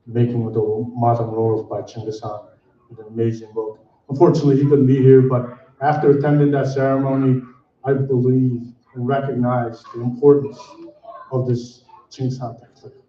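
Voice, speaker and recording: A man's medium-pitched, monotone delivery with flat intonation, at a moderate pace, with audible room echo. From Mongolia, Khentii province. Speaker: community member speaker. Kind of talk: ceremony speech. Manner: halting.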